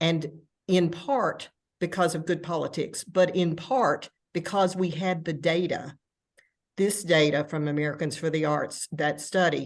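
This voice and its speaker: In a Tennessee accent, a woman speaks at a fairly slow pace with fairly even intonation and a fairly low pitch. The background is quiet. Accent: Southern US (Tennessee), self-noted. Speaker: arts administrator. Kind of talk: panel discussion.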